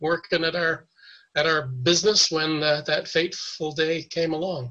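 This man speaks with a Canadian accent at a moderate pace. His voice is fairly high, with a bright, sharp tone. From Canada (Toronto). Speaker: 9/11 survivor, retired broker. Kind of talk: interview testimony. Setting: video call.

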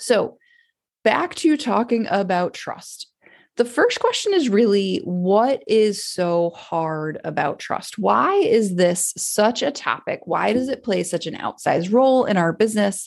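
With an ordinary speaking voice, a woman talks at a medium pitch and a fairly slow pace, her intonation lively. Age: 40s. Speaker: podcast host and business coach. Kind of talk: solo podcast monologue. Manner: casual with frequent fillers and laughs.

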